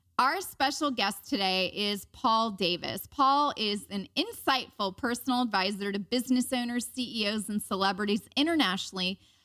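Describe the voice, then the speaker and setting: With an American accent, a woman talks at a moderate pace and a fairly high pitch with ordinary pitch variation, hardly pausing at all. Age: 40s. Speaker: podcast host. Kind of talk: podcast interview.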